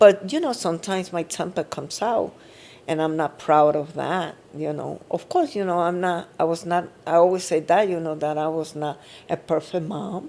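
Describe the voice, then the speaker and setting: Her tone dark and mellow, a woman speaks at a moderate pace with ordinary pitch variation. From Puerto Rico. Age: 70s. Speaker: mother and grandmother of the hosts. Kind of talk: emotional family interview. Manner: halting.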